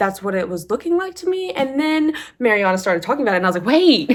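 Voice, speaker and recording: Talking at a very fast pace, a woman uses lively intonation and an animated tone. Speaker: book vlogger. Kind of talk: casual chat.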